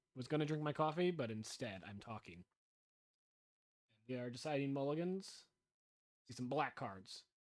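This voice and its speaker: At a moderate pace, a man with a medium pitch speaks with lively intonation and long, frequent pauses. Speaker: game commentator. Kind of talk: live commentary. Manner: loud.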